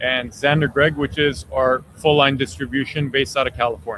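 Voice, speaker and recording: A man's medium-pitched voice with a slight Armenian accent. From Armenian family. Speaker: cigar company executive. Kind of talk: interview.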